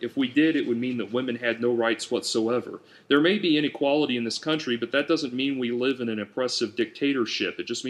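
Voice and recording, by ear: Pitch shifts an ordinary amount as someone reads aloud in a natural voice.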